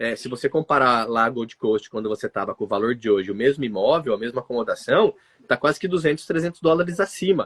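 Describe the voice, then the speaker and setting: The intonation is lively. The pace is very fast. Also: man, medium pitch for a man. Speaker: migration consultancy director. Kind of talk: live stream conversation. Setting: live stream with remote guest.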